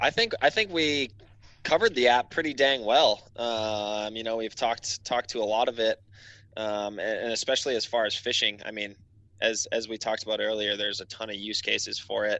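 This speaker has an unremarkable speaking voice with an American accent, a fairly quick pace and fairly even intonation. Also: man, medium pitch for a man. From Wisconsin. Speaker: mapping app marketing specialist. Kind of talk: casual interview.

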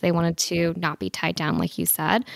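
A woman with an ordinary speaking voice and a fairly low pitch talks at a moderate pace, with a dry, close sound, no echo and a very clean recording against a silent background. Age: 20s. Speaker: real estate investor. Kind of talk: interview.

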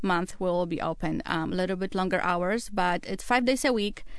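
Spoken at a moderate pace with a Polish accent, the voice has ordinary pitch variation over a quiet background. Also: woman. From Poland. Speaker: winemaker. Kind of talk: casual chat. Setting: studio.

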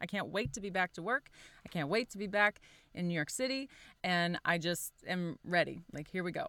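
A woman's fairly low, bright, sharp voice at a fairly quick pace with ordinary pitch variation, dry and close with no echo, on a very clean recording with a silent background. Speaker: podcast co-host, working artist mom. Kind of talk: casual interview.

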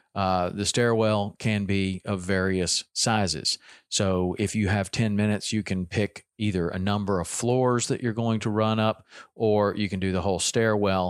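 A man with a Southern US accent talks at a moderate pace in a fairly low, monotone, flat voice of very even loudness. The very clean recording is dry and close with no echo over a silent background. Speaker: fitness podcast host. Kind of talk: casual solo talk, fitness tips. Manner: conversational with fillers.

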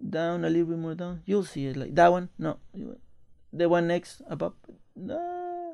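A man speaks at a fairly slow pace. His delivery has long, frequent pauses. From Mexico, Veracruz. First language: Spanish. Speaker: jockey. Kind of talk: casual chat.

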